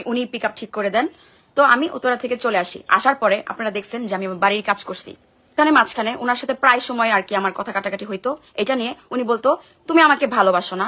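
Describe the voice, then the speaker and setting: Her fairly high voice has a bright, sharp tone, and the woman's pitch varies in an ordinary way. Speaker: social media vlogger. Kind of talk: personal testimony vlog. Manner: emphatic.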